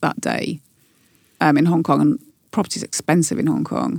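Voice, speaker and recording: Vocal fry and lively intonation at a fairly quick pace, with a dry, close sound and no echo. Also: woman. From Newcastle, northern England. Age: 50s. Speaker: podcast guest sharing life story. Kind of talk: casual interview chat.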